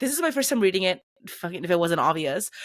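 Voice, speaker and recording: An unremarkable speaking voice from a woman at a medium pitch, with lively intonation and a dry, close sound with no echo. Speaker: book podcast co-host. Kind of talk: casual chat.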